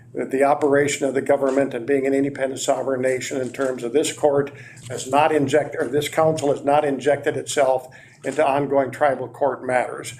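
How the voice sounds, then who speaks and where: With audible room echo, a man with a fairly high pitch speaks at a fairly quick pace in a monotone, flat intonation. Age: 70s. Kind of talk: council meeting presentation. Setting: council meeting, on camera.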